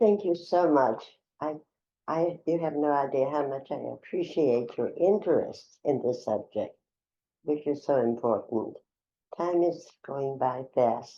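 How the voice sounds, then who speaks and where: A woman with a very deep, low voice talks at a fairly slow pace with ordinary pitch variation. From Czechoslovakia. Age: 90s. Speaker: Holocaust survivor. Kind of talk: testimony. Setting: in-person interview. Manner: halting.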